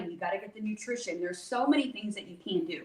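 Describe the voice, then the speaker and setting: Amid noticeable background noise, a woman with a fairly high pitch talks at a very fast pace. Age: 40s. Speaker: holistic hormone health expert. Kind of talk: podcast interview. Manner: animated.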